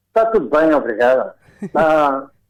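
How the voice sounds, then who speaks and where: This man has a fairly high pitch. He speaks with a strong Alentejo accent. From Portugal, Alentejo (Beja). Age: 80s+. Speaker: fado singer. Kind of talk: radio interview. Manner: halting.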